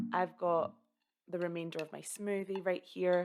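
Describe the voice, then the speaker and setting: A woman with a Scottish accent speaks at a moderate pace in an upbeat tone. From Scotland. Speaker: content creator. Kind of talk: casual talk to camera. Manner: upbeat, chatty.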